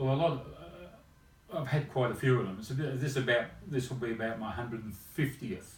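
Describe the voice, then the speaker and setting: A man's medium-pitched voice in an Australian accent at a moderate pace, with ordinary pitch variation, audible room echo and music in the background. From rural Australia. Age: 70s. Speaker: chiropractor. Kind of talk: interview. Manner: halting.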